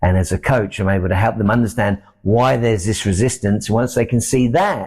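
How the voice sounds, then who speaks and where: A man with a British accent speaks at a fairly quick pace in a dark, mellow tone. His pitch variation is ordinary, and the recording is very clean with a silent background. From UK. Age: 60s. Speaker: success coach. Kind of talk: podcast interview. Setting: studio.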